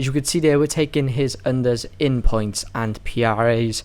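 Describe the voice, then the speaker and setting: A man speaks in a British accent. His pitch is medium, with ordinary variation. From UK. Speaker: sports betting tipster. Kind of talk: casual betting analysis monologue.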